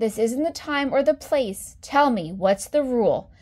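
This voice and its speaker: A woman uses a put-on character voice with a calm tone. Her pitch sits high. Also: moderate pace. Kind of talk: bedtime story. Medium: read story. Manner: calm, gently firm.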